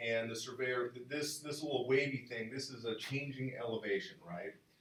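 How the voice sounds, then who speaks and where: A somewhat breathy voice with audible room echo. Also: man. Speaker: math lecturer. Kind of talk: lecture. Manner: fast.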